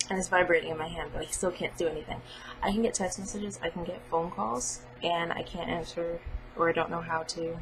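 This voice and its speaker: Noticeable background noise sits behind a woman's voice. She speaks with fairly even intonation. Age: 20s. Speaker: vlogger, college student. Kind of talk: personal vlog monologue. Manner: casual, hesitant with fillers.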